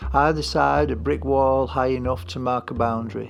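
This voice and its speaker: Over music in the background, a man drawls at a fairly slow pace, his very deep, low voice making very wide pitch swings. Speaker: writer. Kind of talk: personal essay narration. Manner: slow, drawling.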